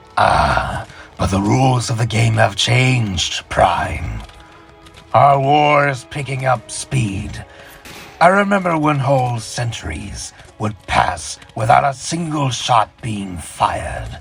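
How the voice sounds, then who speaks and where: A raspy, put-on character voice at a fairly slow pace, with clear music in the background. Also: man, medium pitch for a man. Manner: mocking, sardonic.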